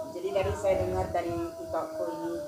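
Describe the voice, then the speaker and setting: A woman talks at a fairly slow pace, with noticeable background noise behind her. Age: old. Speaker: church intercessor and worship leader. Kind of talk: testimony. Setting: family gathering.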